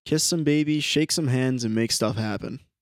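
A man with an unremarkable speaking voice at a moderate pace, ordinary pitch variation, and a very clean recording with a silent background. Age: 20s. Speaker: podcast co-host. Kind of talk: casual chat.

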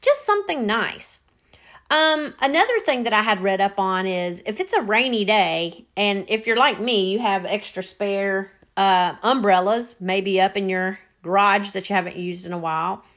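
The speaker talks at a moderate pace with a Southern US accent. The recording is very clean, with a silent background. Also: woman, medium pitch for a woman, ordinary pitch variation. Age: 50s. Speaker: podcast host. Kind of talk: casual monologue.

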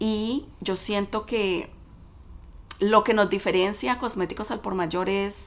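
A woman speaks with a Colombian accent. Her pitch is medium. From Colombia, Cali. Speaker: business owner. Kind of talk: interview.

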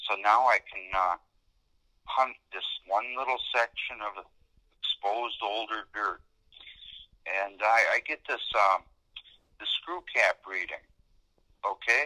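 A man's fairly low voice with a bright, sharp tone and ordinary pitch variation, slow in pace with long, frequent pauses, in a dry, close sound with no echo.

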